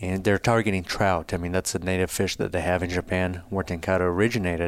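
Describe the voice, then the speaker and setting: The speaker is a man with a Brazilian accent. His pitch is very deep and low. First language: Portuguese. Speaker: fly fishing business founder. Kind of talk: casual interview conversation.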